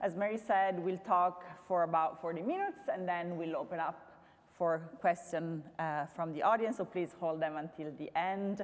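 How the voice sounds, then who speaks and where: There is noticeable background noise as a woman speaks with fairly even intonation. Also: fairly low pitch for a woman, moderate pace. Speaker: curator. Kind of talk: public talk. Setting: stage with audience. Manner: loud.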